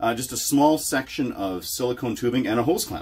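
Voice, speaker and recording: A man's speech races along very quickly, somewhat breathy and full of lively intonation. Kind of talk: tutorial. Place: home room.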